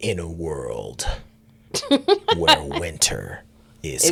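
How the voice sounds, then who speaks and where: Putting on a character voice, a man uses a very deep, low pitch and a dramatic tone. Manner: dramatic, epic.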